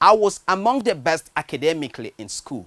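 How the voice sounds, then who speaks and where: Someone speaks at a moderate pace with a Nigerian accent. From Nigeria, Benue State. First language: a Nigerian language, not English. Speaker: writer. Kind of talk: personal storytelling monologue.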